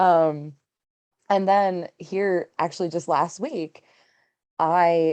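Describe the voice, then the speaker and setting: A very slow woman's voice at a fairly low pitch, with fairly even intonation and long, frequent pauses. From Pittsburgh, Pennsylvania. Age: 20s. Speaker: student, single mother. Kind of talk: podcast interview answer. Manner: casual, chatty.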